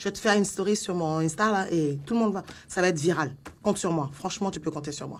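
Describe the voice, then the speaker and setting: The delivery is animated in tone. It moves at a very fast pace. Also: woman. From Africa. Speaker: comedian. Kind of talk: comedy sketch. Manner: loud.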